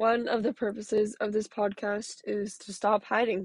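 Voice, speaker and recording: At a fairly slow pace, a woman talks in a normal speaking voice. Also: dry, close sound with no echo. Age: 20s. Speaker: podcast host sharing mental health story. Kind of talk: personal monologue.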